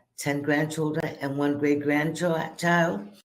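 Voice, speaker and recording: A woman speaks at a fairly slow pace with a very deep, low pitch. Her intonation is fairly even, and audible room echo surrounds her. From Puerto Rico. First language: Spanish. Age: 70s. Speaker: graduate speaker. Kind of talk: testimony.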